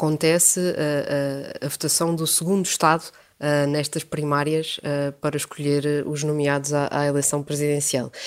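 In a European Portuguese accent, a woman speaks at a moderate pace with a very deep, low pitch and monotone, flat intonation. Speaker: international news editor. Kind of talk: radio interview. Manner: hesitant, many fillers.

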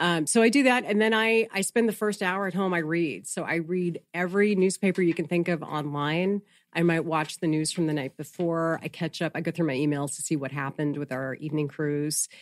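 With hardly any pauses, a woman talks at a fairly quick pace in a fairly low pitch with ordinary pitch variation, on a very clean recording with a silent background. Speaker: news anchor and reporter. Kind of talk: casual interview chat.

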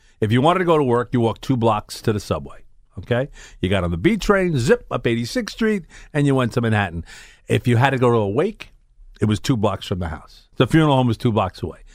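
A man with a Brooklyn accent talks at a very fast pace and medium pitch, with very wide pitch swings. The recording is very clean, with a silent background. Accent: New York (Brooklyn). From Brooklyn, New York (Bensonhurst). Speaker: radio host. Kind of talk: casual chat. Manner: animated.

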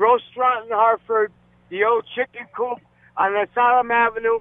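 At a moderate pace, a man with an extremely high pitch speaks in a monotone, flat way. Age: 40s. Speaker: caller. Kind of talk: call-in conversation. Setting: phone call.

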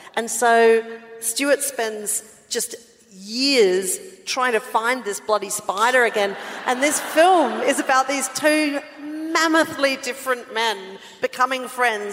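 The speaker has an Australian accent and ordinary pitch variation. Noticeable background noise runs underneath. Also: woman. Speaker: podcast co-host. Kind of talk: live podcast recording, casual banter. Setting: stage with audience. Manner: animated.

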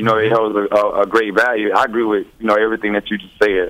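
A man speaks at a medium pitch. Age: 30s. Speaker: caller. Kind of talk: call-in. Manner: halting.

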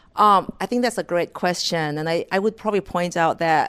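A woman's fairly low voice with a Thai accent, at a fairly quick pace and fairly even intonation, in a very clean, silent-background recording with a dry, close sound and no echo. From rural northeast Thailand, Mekong River. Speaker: corporate economist. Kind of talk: interview. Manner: halting.

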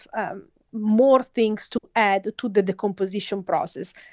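A woman speaks with an Italian accent at a fairly slow pace. Her pitch is fairly high with ordinary pitch variation. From Italy. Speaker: forensic scientist. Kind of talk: interview. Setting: phone call. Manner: halting.

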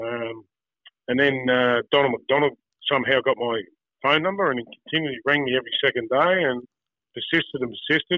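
Medium-pitched male speech in an Australian accent, fairly quick between long, frequent pauses, with ordinary pitch variation. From Tasmania, Australia (Wynyard). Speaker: former footballer and school football coach. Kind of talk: casual interview. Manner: halting, with many repeated words.

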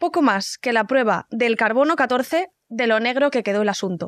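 A woman's high voice, lively in intonation and fairly slow in pace, with a dry, close sound, no echo, and a very clean recording over a silent background. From Valencia, Spain. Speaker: podcast host. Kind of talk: casual interview; scripted narration.

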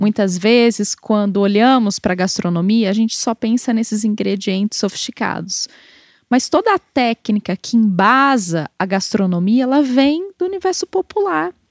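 Speaking with a Brazilian accent, a woman uses lively intonation and a fairly high pitch at a moderate pace. The recording is very clean, dry and close, with a silent background and no echo. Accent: non-mineiro Brazilian Portuguese. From Brazil, outside Minas Gerais. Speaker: food historian. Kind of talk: interview.

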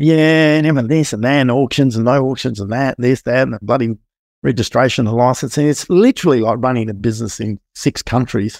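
A medium-pitched man with an Australian accent talks very fast with ordinary pitch variation. The very clean recording has a silent background and a dry, close sound with no echo. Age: 50s. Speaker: building inspector and property investor. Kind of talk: casual interview chat.

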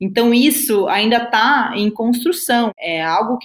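Fairly slow speech from a woman with a southern Brazilian accent and a fairly high voice. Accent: gaúcho Brazilian Portuguese. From southern Brazil, Rio Grande do Sul. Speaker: business consultant. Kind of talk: interview.

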